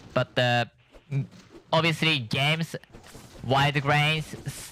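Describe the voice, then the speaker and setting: A man with a non-native accent over music in the background. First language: not English. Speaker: gaming streamer. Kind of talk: gameplay commentary. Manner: halting.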